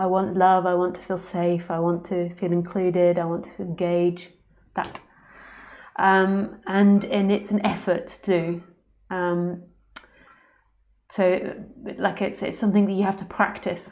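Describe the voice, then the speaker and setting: The intonation is flat and monotone, at a fairly slow pace with long, frequent pauses. The recording is very clean, with a silent background. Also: woman, medium pitch for a woman. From London, England. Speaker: spiritual teacher. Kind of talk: live stream Q&A. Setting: live stream. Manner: overpronounces words.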